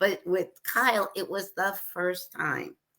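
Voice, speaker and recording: A woman's voice has a bright, sharp tone. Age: 60s. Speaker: radio show producer sharing grief story. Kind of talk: interview.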